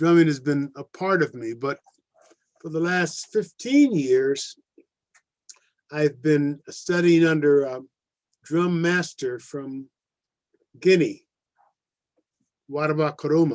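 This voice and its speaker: Speaking very slowly with long, frequent pauses, the man has a fairly high-pitched voice. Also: ordinary pitch variation. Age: 80s+. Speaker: drum teacher. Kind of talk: workshop talk. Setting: live stream.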